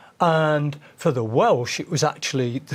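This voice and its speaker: On a very clean recording with a silent background, a man in a Manchester accent speaks at a fairly slow pace and fairly high pitch, with ordinary pitch variation. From northern England, Manchester. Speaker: folk singer. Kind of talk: interview.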